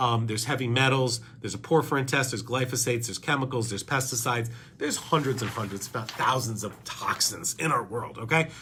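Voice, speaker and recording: An animated man at a medium pitch and very fast pace, over noticeable background noise. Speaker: doctor, podcast host. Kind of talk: educational talk presenting lab results.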